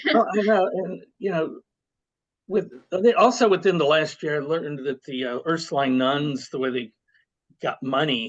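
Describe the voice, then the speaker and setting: The speaker talks at a moderate pace. Long pauses come often. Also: man, fairly high pitch for a man. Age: 60s. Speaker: podcast host. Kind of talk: casual interview conversation. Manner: hesitant, many fillers.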